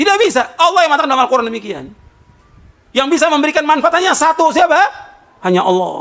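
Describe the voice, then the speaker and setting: Loud and animated, a man talks at a very fast pace in an extremely high voice with very wide pitch swings and long, frequent pauses. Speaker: Islamic preacher. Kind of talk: sermon. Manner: animated, rhetorical questions.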